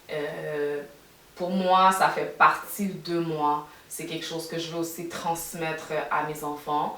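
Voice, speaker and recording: Very slowly and in a flat monotone, a woman speaks with a Quebec accent at a fairly low pitch. Audible room echo and noticeable background noise fill the recording. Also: big swings in loudness. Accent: Québécois French. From Quebec, Montreal. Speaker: podcast co-host. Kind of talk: casual chat.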